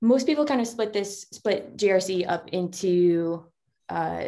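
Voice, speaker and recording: A woman with an American accent speaks in a dark, mellow tone with ordinary pitch variation. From New England, US. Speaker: security director. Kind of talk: guest talk. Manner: fast.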